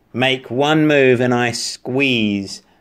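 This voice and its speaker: A man uses a put-on character voice with a menacing, growling tone. His pitch is medium, with ordinary pitch variation. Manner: snarling, menacing.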